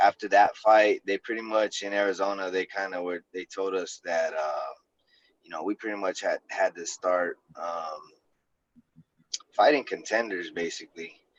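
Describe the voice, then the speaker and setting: A man speaks at a moderate pace, with big swings in loudness and long, frequent pauses. The sound is dry and close, with no echo. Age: 30s. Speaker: MMA fighter. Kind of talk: casual chat.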